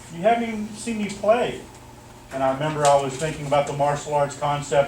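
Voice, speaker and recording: Ordinary pitch variation and a moderate pace in a man's fairly high voice, plus audible room echo. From German-American military family. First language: German. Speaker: martial arts instructor. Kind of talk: motivational speech at awards ceremony. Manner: animated.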